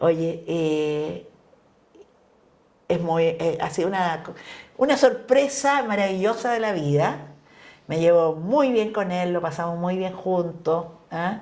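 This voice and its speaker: In a room with audible echo, a woman with a fairly low pitch and lively intonation talks at a very slow pace, leaving long, frequent pauses. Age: 70s. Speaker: feminist politician. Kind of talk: casual chat. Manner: animated.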